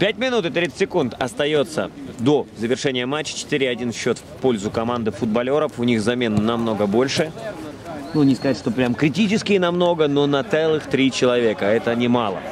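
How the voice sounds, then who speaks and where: There is noticeable background noise as a man speaks at a moderate pace in a medium pitch. His intonation is lively while his loudness stays very even. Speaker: football commentator. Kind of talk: live commentary. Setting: outdoors.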